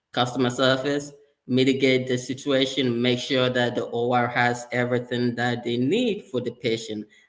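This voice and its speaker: Here a man speaks at a moderate pace and a medium pitch. He has a slight Ghanaian accent. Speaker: sterile processing leader, former surgical tech. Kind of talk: interview conversation.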